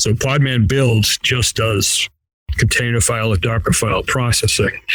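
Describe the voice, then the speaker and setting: A man with a Boston accent talks at a medium pitch, with fairly even intonation and very even loudness. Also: moderate pace. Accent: Boston accent, non-rhotic. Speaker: software engineer. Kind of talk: interview. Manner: casual, with fillers and repeats.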